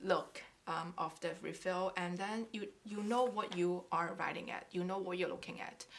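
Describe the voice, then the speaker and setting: A woman with a non-native accent, a medium pitch and a fairly slow pace. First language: not English. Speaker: craft YouTuber. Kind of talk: casual tutorial. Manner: halting.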